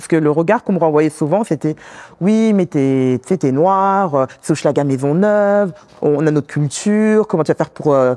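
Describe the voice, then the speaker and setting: A woman with a very deep, low pitch and a dark, mellow tone speaks at a moderate pace with lively intonation and big swings in loudness, in a dry, close sound with no echo. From France, Congolese background. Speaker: community worker, immigrant woman. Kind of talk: interview conversation. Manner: hesitant, many fillers.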